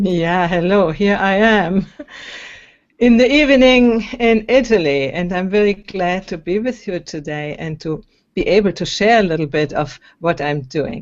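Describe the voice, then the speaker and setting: Talking at a fairly slow pace, a woman with a German accent uses lively intonation at a medium pitch. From Germany. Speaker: singer and empowerment coach. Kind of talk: interview. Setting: video call.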